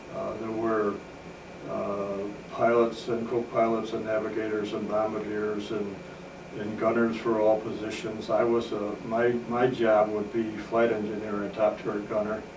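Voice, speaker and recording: In an American accent, a man speaks at a moderate pace with a fairly low pitch and monotone, flat intonation, over noticeable background noise and audible room echo. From upstate New York, Oswego County. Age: 70s. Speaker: war veteran. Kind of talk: oral history interview. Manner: halting, many filler uhs.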